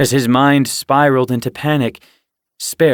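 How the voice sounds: Fairly even intonation in a natural reading voice, quiet background behind it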